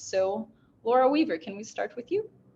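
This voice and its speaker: A woman talks at a fairly high pitch with a Portuguese accent. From Brazil. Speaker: panel moderator. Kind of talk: panel discussion moderation.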